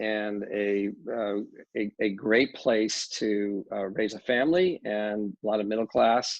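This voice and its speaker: The speaker has an American accent and a very slow pace. The intonation stays fairly even. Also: man, fairly low pitch for a man. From Los Angeles, US West Coast. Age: 60s. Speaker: real estate developer. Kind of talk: interview.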